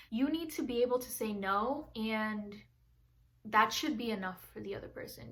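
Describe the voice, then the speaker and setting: Amid audible room echo, a woman with a fairly high pitch speaks at a moderate pace with ordinary pitch variation. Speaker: lifestyle vlogger. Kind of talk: casual vlog talk. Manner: loud, outgoing.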